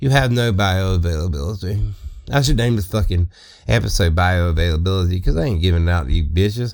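In a Mississippi accent, a man speaks at a very deep, low pitch with ordinary pitch variation and very even loudness. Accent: Mississippi Southern drawl. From US South, Southeast Mississippi. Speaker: comedy podcaster. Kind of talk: comedic rant monologue. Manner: animated.

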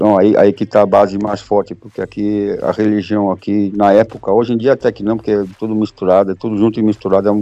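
With hardly any pauses, a man speaks at a very fast pace in a fairly low, monotone voice with flat intonation. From Brazil, São Paulo and Minas Gerais. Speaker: football fan. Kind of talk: casual chat.

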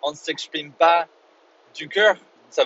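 A man with an English accent speaks very slowly in a fairly high pitch. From Northern Ireland, Belfast. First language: English (speaking French). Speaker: English teacher and podcast host. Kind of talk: solo educational podcast monologue. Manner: halting, many fillers and repetitions.

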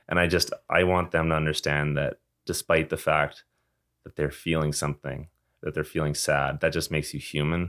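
Moderate pace, monotone and flat intonation, a dry, close sound with no echo, and a Western Canadian accent. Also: man, very deep, low pitch for a man. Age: 20s. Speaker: junior hockey player. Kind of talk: interview.

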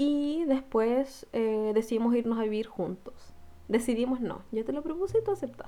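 A woman speaks at a moderate pace in a high voice with ordinary pitch variation. Her tone is dark and mellow. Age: 20s. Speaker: podcast co-host. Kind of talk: casual chat.

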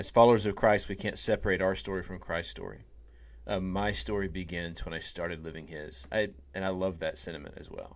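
With vocal fry, a man talks at a fairly quick pace in a very deep, low pitch that has ordinary variation. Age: 40s. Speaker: minister and podcast co-host. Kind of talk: casual faith discussion podcast.

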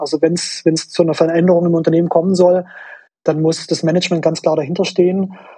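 A very fast, high-pitched male voice with a dark, mellow tone and a Swabian accent. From Swabia, southwestern Germany. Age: 30s. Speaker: management consultant. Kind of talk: interview. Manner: hesitant with fillers.

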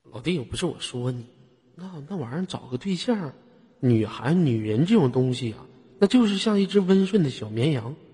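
Somewhat breathy and fairly high in pitch, a man speaks at a moderate pace with very wide pitch swings and big swings in loudness. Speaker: live voice-chat room host. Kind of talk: live call-in chat. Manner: animated.

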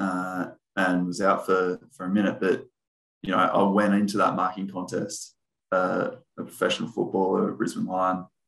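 A man with an Australian accent speaks at a fairly slow pace. His pitch is fairly low and his intonation is flat and monotone. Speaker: former pro footballer and coach. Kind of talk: casual interview.

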